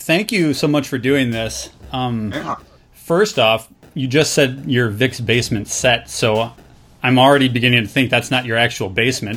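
A man with an unremarkable speaking voice keeps a medium pitch, moderate pace and ordinary pitch variation. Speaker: podcast host. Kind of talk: casual chat.

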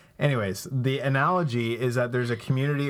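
A man at a moderate pace with fairly even intonation, on a very clean recording with a silent background. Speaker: pastor and podcast co-host. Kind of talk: casual faith-based discussion. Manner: hesitant, many filler words.

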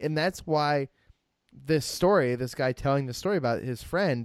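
This man's voice sits at a medium pitch. He talks at a moderate pace. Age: 20s. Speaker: podcast co-host, film reviewer. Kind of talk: casual chat. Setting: Skype call. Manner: animated.

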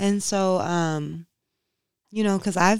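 Very clean with a silent background, the recording captures a woman with an American accent and an unremarkable speaking voice. She keeps a moderate pace and fairly even intonation. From Inkster, Michigan (Detroit area). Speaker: yoga and mindfulness practitioner. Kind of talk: casual interview.

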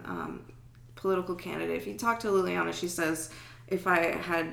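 A woman speaks with an American accent, and audible room echo surrounds her voice. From Germany (US army family). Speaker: artist. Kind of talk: casual interview.

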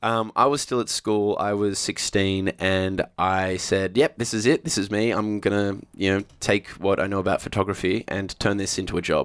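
Using an Australian accent, a man talks at a moderate pace in a fairly low voice with fairly even intonation and hardly any pauses, in a dry, close sound with no echo. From Australia, Sydney northern beaches. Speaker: TV presenter. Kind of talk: casual chat.

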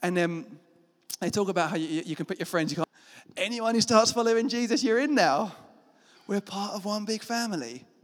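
A man with a British accent talks at a fairly quick pace in a high pitch, his intonation lively. He takes long, frequent pauses. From Britain. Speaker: pastor. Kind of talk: sermon. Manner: animated.

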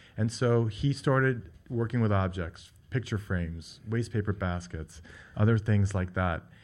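Over a very clean recording with a silent background, a man speaks in an ordinary speaking voice. His fairly low pitch shows ordinary variation at a fairly slow pace. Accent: American. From New York. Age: 50s. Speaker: furniture gallery owner and designer. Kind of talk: radio interview.

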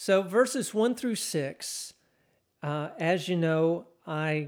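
A man speaks with a Texan accent at a fairly high pitch. The recording is very clean, with a silent background. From Texas. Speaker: pastor. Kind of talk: sermon.

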